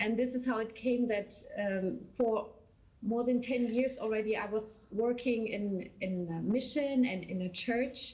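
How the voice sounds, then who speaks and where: A woman with a German accent, fairly high-pitched and somewhat breathy, at a fairly slow pace with fairly even intonation and audible room echo. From Germany. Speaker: missionary church worker. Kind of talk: interview. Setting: video call.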